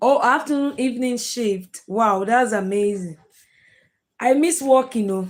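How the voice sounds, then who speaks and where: Speaking at a fairly slow pace, a woman with a Nigerian accent has a high pitch. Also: lively intonation. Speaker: live streamer, content creator. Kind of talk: live stream chat with viewers. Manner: casual, chatty.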